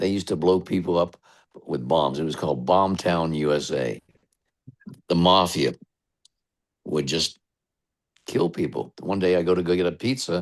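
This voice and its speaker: A man with an American accent speaks in a very deep, low pitch with vocal fry and ordinary pitch variation, at a moderate pace. Long, frequent pauses stand out against a quiet background. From western Pennsylvania. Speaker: radio DJ. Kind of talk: interview.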